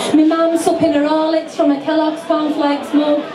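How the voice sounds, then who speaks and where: Noticeable background noise sits behind a woman speaking at a high pitch. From Yorkshire, England. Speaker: poet. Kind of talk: live poetry performance. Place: bar.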